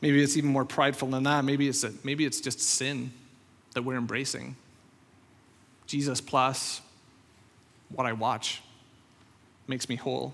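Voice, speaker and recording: Speaking at a moderate pace with long, frequent pauses, a man with a Northern Irish accent keeps a medium pitch and a monotone, flat intonation. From Northern Ireland. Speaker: pastor. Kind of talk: sermon. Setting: church.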